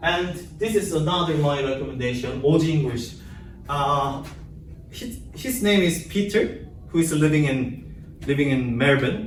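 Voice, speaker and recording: A man with a Korean accent, fairly high in pitch with ordinary pitch variation, at a fairly slow pace, with audible room echo. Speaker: English language student. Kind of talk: class presentation. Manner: halting.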